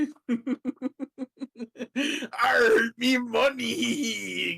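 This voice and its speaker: Pitching his voice extremely high, the man puts on a character voice. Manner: pirate growl.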